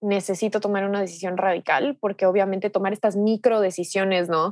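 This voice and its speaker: A woman's flat, monotone voice at medium pitch, in a dry, close sound with no echo and a very clean recording over a silent background. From Ecuador. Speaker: digital nomad entrepreneur and coach. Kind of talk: podcast interview.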